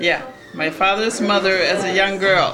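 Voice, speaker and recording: Very slow speech with audible room echo and music in the background. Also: woman. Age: 70s. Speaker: family elder. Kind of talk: family history interview. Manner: halting.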